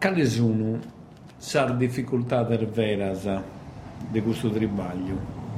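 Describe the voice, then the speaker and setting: Speaking at a very slow pace with long, frequent pauses, a man has a somewhat breathy, dark, mellow tone, lively intonation and very even loudness, with audible room echo around him. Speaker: radio host. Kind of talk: radio interview.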